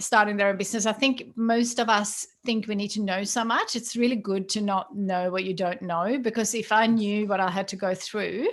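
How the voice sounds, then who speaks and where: A woman with a Swedish accent at medium pitch, fairly even intonation, moderate pace and hardly any pauses. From Sweden. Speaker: business founder. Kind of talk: casual chat. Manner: halting, many fillers.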